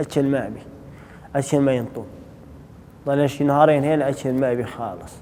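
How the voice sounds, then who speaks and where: A man with a fairly high voice talks at a moderate pace, his intonation staying fairly even. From Syria, Raqqa. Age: 20s. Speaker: former prisoner. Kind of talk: testimony. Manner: halting.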